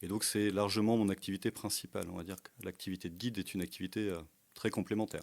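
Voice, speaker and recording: A man speaks very fast in a fairly low pitch with fairly even intonation. His loudness swings a lot. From France, Burgundy (Brionnais). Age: 40s. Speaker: tour guide and history teacher. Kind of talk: podcast interview. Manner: hesitant, many fillers.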